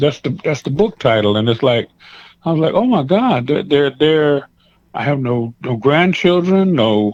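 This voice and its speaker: Using a plain, everyday voice, a man with an American accent talks at a moderate pace in a fairly high pitch with lively intonation. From US West Coast (Seaside, California). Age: 60s. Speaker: pastor. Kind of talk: interview.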